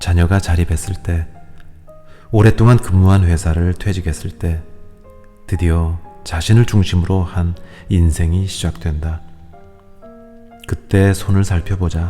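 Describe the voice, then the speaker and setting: Soft-spoken and very deep, a man's low voice moves at a fairly slow pace with fairly even intonation and long, frequent pauses, while music plays in the background. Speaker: audiobook reader. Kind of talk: audiobook reading of a self-help book. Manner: soft, calm, ASMR-style reading.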